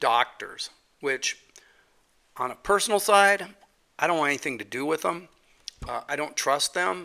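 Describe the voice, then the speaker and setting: At a moderate pace, a man with a bright, sharp tone and fairly high pitch uses lively intonation and takes long, frequent pauses. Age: 60s. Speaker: podcast host. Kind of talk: casual solo podcast monologue. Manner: halting, many fillers and repetitions.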